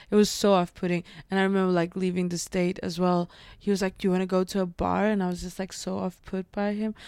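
In a very clean recording with a silent background and a dry, close sound with no echo, a woman speaks very fast in a flat monotone at medium pitch. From Middle East. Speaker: comedian. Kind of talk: casual chat.

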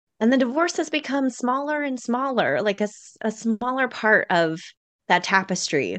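Lively intonation and big swings in loudness mark this moderate-paced speech, heard over a quiet background. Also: woman, high pitch for a woman. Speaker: podcast coach. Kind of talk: casual interview chat.

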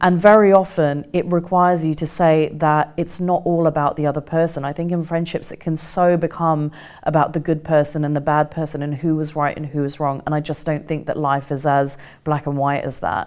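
A woman's very deep, low voice, monotone and flat, at a fairly quick pace over noticeable background noise. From England (Kent), partly raised in India. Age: 40s. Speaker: author and journalist. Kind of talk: interview.

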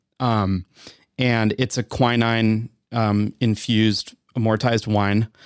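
On a very clean recording with a silent background and a dry, close sound without echo, a speaker with an American accent talks at a very slow pace in monotone, flat intonation. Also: man, medium pitch for a man. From US Midwest (Wisconsin). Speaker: bar and beverage manager. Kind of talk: casual interview. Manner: hesitant, many fillers.

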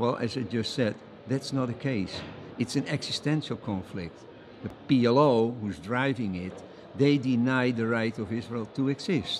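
Speaking fairly slowly with a Dutch accent, a man uses a medium pitch with ordinary pitch variation. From Netherlands. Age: 70s. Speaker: think tank co-founder, international law advocate. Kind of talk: interview. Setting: at a conference.

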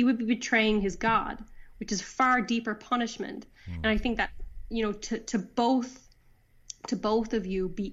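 A woman with a Newfoundland accent talks at a fairly quick pace with fairly even intonation. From Newfoundland, Canada. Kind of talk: casual interview chat. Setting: phone call.

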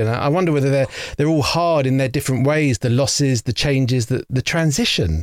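In an English accent, a man with a medium pitch and ordinary pitch variation speaks at a fairly quick pace, the sound dry and close with no echo. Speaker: podcast host. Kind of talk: interview.

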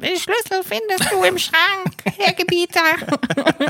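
Pitched extremely high, a put-on character voice moves along at a fairly slow pace. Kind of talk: mimicry of a film character's voice. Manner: servile, imitating a character.

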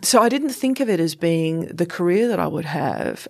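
A woman speaks in an unremarkable speaking voice, fairly low in pitch. Her pitch variation is ordinary. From England then Canada, Australia from teens. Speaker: senior government official. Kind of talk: interview conversation.

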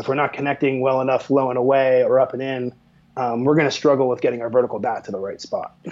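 Speaking at a very fast pace, a man with an American accent holds a medium pitch in a monotone, flat intonation. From Pennsylvania, US. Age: 40s. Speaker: sports tech company manager. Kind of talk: casual interview.

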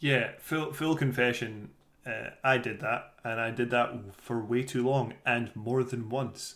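Speaking with a Scottish accent, a man uses a medium pitch. He goes at a fairly slow pace with fairly even intonation. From Scotland. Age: 30s. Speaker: podcast co-host. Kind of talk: casual chat.

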